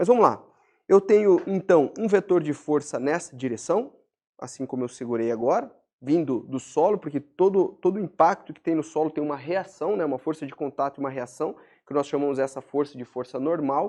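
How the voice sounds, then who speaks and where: A man's fairly high voice, dark and mellow in tone, with lively intonation at a moderate pace against a quiet background. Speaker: biomechanics teacher / personal trainer educator. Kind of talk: lecture.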